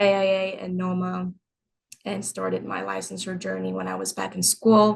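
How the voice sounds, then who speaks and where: A woman with a Turkish accent talks at a moderate pace. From Turkey. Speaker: architectural designer. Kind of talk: webinar panel introduction.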